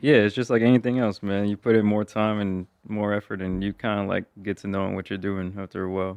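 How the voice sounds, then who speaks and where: In a dry, close sound with no echo, a man speaks very fast in a monotone, flat intonation. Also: fairly low pitch for a man. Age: 20s. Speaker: YouTuber. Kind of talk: casual chat.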